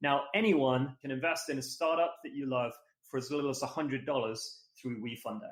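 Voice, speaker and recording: A man's unremarkable speaking voice, fairly high in pitch, with lively intonation at a fairly quick pace. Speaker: podcast co-host, fundraising lead. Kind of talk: podcast intro.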